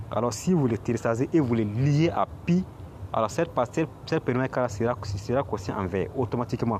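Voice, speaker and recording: A man talks with a non-native accent. His voice is somewhat breathy. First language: not French (speaking French). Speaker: crypto YouTuber. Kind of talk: screen tutorial. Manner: halting, many repetitions.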